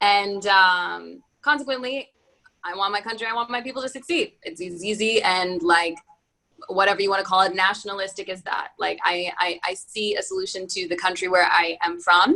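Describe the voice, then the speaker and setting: Bright and sharp in tone, a woman with an American accent speaks at a medium pitch and a moderate pace with ordinary pitch variation. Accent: American accent, quite Yankee. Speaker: venture capital fund founder. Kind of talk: webinar talk. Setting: online webinar.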